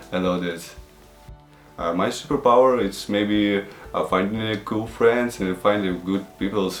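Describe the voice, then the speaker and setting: A man's fairly low voice, with audible room echo and noticeable background noise. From Ukraine, Odessa. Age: 20s. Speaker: travel show host interviewee. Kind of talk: interview. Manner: halting, many fillers.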